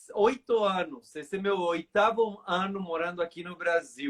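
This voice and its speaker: A man's high-pitched voice with a Mexican accent and fairly even intonation. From Mexico, then USA from age 11 to 24. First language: Spanish (speaking Portuguese). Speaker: pastor. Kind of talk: testimony. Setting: online live stream.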